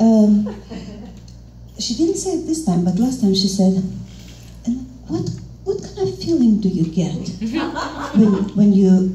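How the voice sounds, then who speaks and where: A Russian accent over noticeable background noise. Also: woman. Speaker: interpreter. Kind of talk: stand-up comedy.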